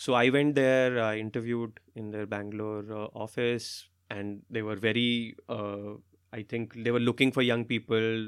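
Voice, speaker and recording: At a moderate pace, a man speaks in a flat monotone at a medium pitch. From India, Jaipur (Rajasthan). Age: 30s. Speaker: stand-up comedian and consultant. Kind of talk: casual interview.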